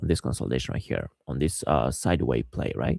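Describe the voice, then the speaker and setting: A man's very deep, low voice with a dark, mellow tone, vocal fry and a non-native accent, lively in intonation and fairly quick, dry and close with no echo. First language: not English. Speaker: day trader. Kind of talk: trading recap tutorial. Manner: halting, many fillers and repeats.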